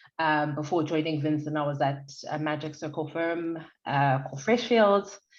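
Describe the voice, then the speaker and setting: Audible room echo surrounds a woman whose very deep, low pitch moves with ordinary variation as she talks at a moderate pace. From South Africa, Durban. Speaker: lawyer. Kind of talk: podcast interview. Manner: loud, animated.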